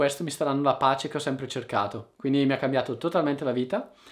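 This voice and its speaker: Over a quiet background, a man talks. His pace is very fast. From Italy. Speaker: online Italian teacher. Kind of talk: casual monologue to viewers. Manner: informal, with hesitations. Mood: reflective, warm. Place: home room.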